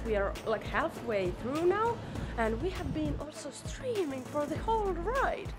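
Clear music plays behind a woman who talks at a moderate pace. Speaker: travel vlogger. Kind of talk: casual vlog chat. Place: shop. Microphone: phone near.

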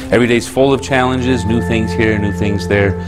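Clear music plays in the background while a man speaks with ordinary pitch variation. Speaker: tai chi instructor. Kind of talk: lecture. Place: classroom.

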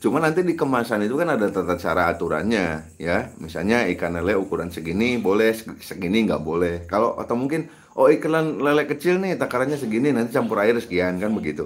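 Delivered very fast with hardly any pauses, the speech shows very wide pitch swings. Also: man, medium pitch for a man. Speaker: YouTube fish farming channel host. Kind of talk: live stream Q&A tutorial. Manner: casual, conversational.

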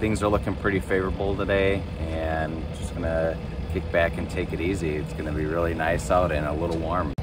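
A man speaks at a fairly quick pace with few pauses, his pitch low and barely moving, amid loud background noise and audible room echo.

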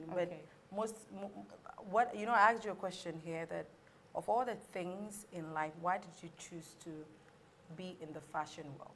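This speaker, with a Ghanaian accent, takes long, frequent pauses, with big swings in loudness, ordinary pitch variation and light background noise. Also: woman, fairly low pitch for a woman, moderate pace. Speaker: cooking show host. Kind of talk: cooking show hosting, casual chat. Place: studio. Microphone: lapel.

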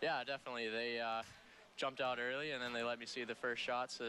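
A man with an American accent at a medium pitch and very fast pace, bright and sharp in tone, dry with no echo, with light background noise. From California. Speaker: college hockey goalie. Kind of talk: post-game interview. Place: hall. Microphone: headset.

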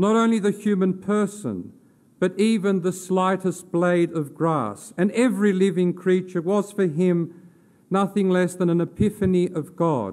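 A man with an Australian accent speaks fairly slowly in a high, gentle voice, keeping his intonation fairly even and his loudness very even. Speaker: theology lecturer giving a funeral eulogy. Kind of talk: formal funeral eulogy read from a prepared text in a cathedral. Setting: cathedral funeral service. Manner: solemn, measured and reverent, elevated literary diction; gentle, consoling delivery closing on a prayerful amen. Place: church. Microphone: podium.

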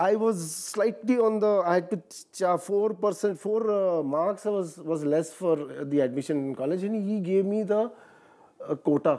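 In a quiet background, a man with a slight Marathi accent speaks at a high pitch and moderate pace, with ordinary pitch variation. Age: 40s. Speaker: actor. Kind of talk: interview. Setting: studio. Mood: relaxed, reminiscing. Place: studio.

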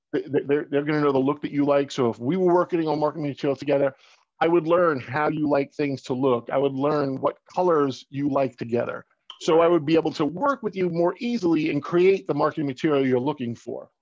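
Speaking at a fairly quick pace, a man with a fairly high pitch and an American accent has a plain, everyday voice with ordinary pitch variation. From Long Island, New York; New York. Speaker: marketing and print business owner; guest. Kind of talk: casual promotional interview. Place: home room. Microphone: video call.

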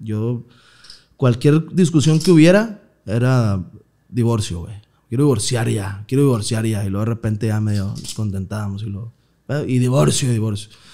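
A man with a medium pitch speaks in a dark, mellow tone, his loudness swinging widely. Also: ordinary pitch variation, moderate pace. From Mexico, Nuevo León (Villa de Santiago, near Monterrey); Nuevo León, Mexico. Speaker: comedian. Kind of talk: casual chat. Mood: relaxed, joking storytelling. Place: studio. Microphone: studio mic.

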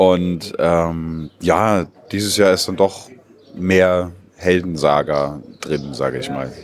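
At a very slow pace, a man talks with a very deep, low pitch, the sound dry with no echo and light background noise behind him. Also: ordinary pitch variation. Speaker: actor in an open-air pirate play. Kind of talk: interview answer. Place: street. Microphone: handheld.

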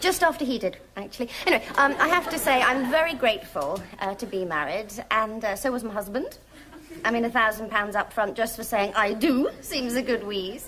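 A woman at a moderate pace over light background noise. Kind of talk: comic monologue. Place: studio. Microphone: lapel.

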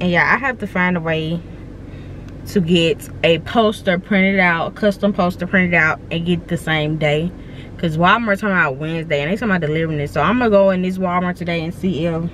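Speaking fairly quickly in a normal speaking voice, a woman with a fairly low pitch and ordinary pitch variation is heard in a dry, echo-free recording with light background noise. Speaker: vlogger. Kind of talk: casual vlog chat. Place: car. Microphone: phone near.

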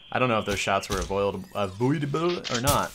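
A man speaks against noticeable background noise. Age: 20s. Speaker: gaming YouTuber. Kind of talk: gameplay commentary. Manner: animated.

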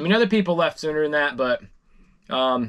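A man speaks at a fairly high pitch and a fairly quick pace, his intonation lively. His tone is fairly bright, clear and smooth.

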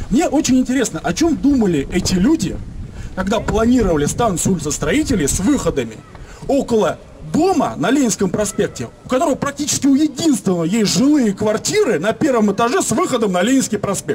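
Animated in tone, a man speaks at a fairly quick pace and high pitch, with very wide pitch swings, very even loudness and light background noise. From Moscow, Leninsky prospekt; Moscow. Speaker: local resident activist. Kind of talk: public speech at residents' meeting. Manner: animated, indignant. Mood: indignant, complaining. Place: street. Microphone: camera far.

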